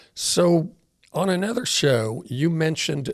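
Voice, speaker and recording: In a very clean recording against a silent background, a man uses an unremarkable speaking voice, talking fairly slowly with lively intonation. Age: 60s. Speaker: podcast host. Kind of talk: interview.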